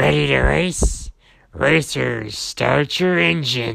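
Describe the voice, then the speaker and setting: A man's put-on character voice, raspy and growling, at a fairly low pitch and very slow pace. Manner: announcing.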